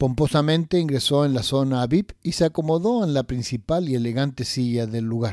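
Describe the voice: The pitch varies in an ordinary way during this plain reading aloud.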